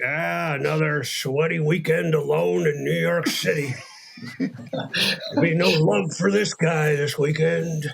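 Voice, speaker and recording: Using a put-on character voice, a man talks at a fairly slow pace with a fairly high pitch over light background noise. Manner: talking out of the side of the mouth.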